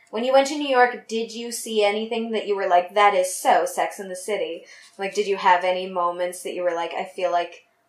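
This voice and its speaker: A woman with an ordinary speaking voice talks at a fairly quick pace and a medium pitch, with ordinary pitch variation. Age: 30s. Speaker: podcast host. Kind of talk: casual chat; podcast intro.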